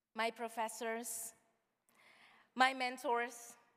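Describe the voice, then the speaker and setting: A woman's voice sounds high-pitched, with a bright, sharp tone. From outside the US. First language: not English. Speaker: student graduation speaker. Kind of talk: commencement speech.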